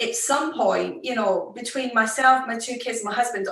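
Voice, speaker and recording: Her pitch is high and her intonation lively as the woman speaks with a Scottish accent. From Scotland. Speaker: fashion executive. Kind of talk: interview. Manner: slow.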